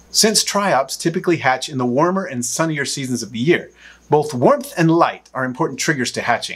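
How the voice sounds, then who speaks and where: A man with a fairly high voice speaks at a fairly quick clip against a quiet background. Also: ordinary pitch variation. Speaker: exotic pet channel owner and educator. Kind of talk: educational care tutorial. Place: studio.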